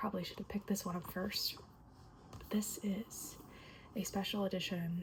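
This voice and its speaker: Soft-spoken, a woman talks. She keeps a moderate pace. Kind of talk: ASMR book review.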